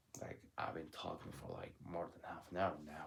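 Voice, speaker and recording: A man talks at a moderate pace in a Turkish accent. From Turkey. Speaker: vlogger. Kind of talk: casual monologue. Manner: loud.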